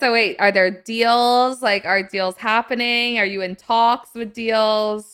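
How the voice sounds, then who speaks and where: A woman with a fairly high, bright, sharp voice talks fairly slowly in a flat monotone with hardly any pauses, on a very clean recording with a silent background. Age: 20s. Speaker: podcast host. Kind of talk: casual interview chat.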